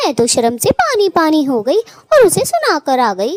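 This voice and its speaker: A cartoonish character voice, female-sounding, at an extremely high pitch, with very wide pitch swings and a fairly quick pace. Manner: sharp-tongued, nagging.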